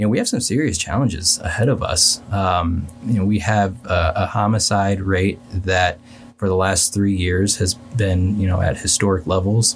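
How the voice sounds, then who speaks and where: A man with a very deep, low pitch, a somewhat breathy voice and a Midwestern American accent, at a moderate pace. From Kansas City, Missouri (East Side). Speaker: city council candidate. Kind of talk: interview.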